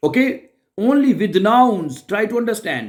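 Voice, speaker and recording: A man with a Pakistani accent. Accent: South Asian (Pakistani) English. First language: Urdu. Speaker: German language teacher. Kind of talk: tutorial. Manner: halting, many fillers and restarts.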